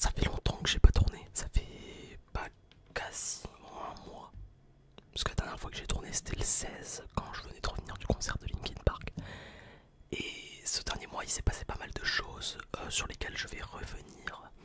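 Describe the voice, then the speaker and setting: Relaxed whispering at a moderate pace, with long, frequent pauses, big swings in loudness and noticeable background noise. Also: man. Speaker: ASMR content creator. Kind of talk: casual storytime to camera. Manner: whispered, relaxed.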